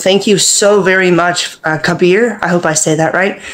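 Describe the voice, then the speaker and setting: A fairly low-pitched woman's voice amid noticeable background noise. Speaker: participant. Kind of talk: casual chat. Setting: video call.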